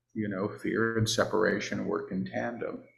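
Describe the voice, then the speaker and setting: A man does the talking here. The room gives his voice an audible echo. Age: 60s. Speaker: spiritual teacher and channeler. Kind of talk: casual chat.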